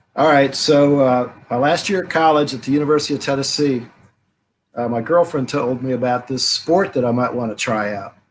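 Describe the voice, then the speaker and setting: Against a quiet background, a man talks at a fairly quick pace in a medium pitch. He has an ordinary speaking voice with ordinary pitch variation. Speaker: rugby coach. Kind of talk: casual interview chat.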